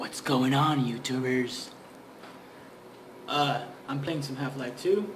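Very slow speech over noticeable background noise. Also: man. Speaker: gamer. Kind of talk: casual let's-play gaming commentary. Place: home room. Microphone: headset.

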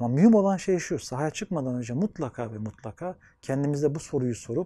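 Quick-paced and lively in intonation, a man with a fairly high pitch and a dark, mellow tone speaks against a quiet background. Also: dry sound with no echo. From Anatolia, Turkey; Turkey. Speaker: sociologist and gerontology researcher. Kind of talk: interview monologue; interview answer. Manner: formal. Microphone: lapel.

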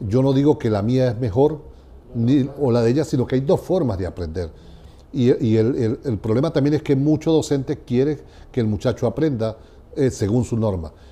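A man's dark, mellow voice at a moderate pace, with lively intonation. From Venezuela. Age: 60s. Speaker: education researcher. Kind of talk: interview. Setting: university venue. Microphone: lapel.

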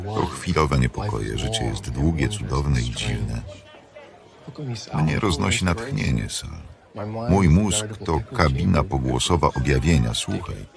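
Amid loud background noise, a man speaks at a moderate pace with long, frequent pauses, in a dry sound with no echo. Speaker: film voice-over reader. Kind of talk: film voice-over translation read. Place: booth.

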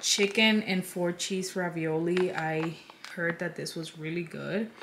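The pace is fairly slow, and the intonation is monotone and flat. Noticeable background noise runs underneath. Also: woman, fairly low pitch for a woman. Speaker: lifestyle vlogger. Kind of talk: casual haul chat. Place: home room.

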